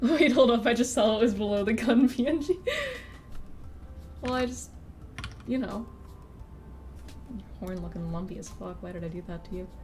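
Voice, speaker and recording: A woman with an American accent, long and frequent pauses, big swings in loudness, audible room echo and music in the background. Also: moderate pace. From rural Missouri, US Midwest. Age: 20s. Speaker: artist streamer. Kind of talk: casual live stream chat while drawing.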